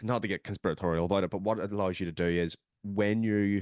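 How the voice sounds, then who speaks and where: A man's very deep, low voice in a Northern Irish accent, animated in tone, with a dry, close sound, no echo, and a quiet background. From Northern Ireland. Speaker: podcast host. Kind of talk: casual chat.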